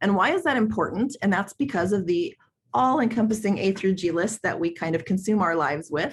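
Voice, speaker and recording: Somewhat breathy, a woman speaks at a fairly quick pace with lively intonation and very even loudness. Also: medium pitch for a woman. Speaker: school counselor and workshop presenter. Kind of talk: webinar presentation. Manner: fast; many fillers (um).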